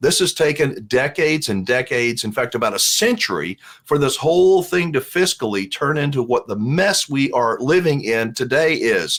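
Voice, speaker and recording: With an unremarkable speaking voice, a man talks at a moderate pace, his fairly high pitch carried by lively intonation. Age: 60s. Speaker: RV vlogger. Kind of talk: casual commentary reading viewer comments. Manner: conversational.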